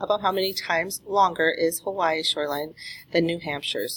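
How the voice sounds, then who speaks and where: A woman speaks in a normal speaking voice, her pitch fairly low. Her pace is fairly quick and her intonation fairly even. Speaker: math teacher. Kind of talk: tutorial.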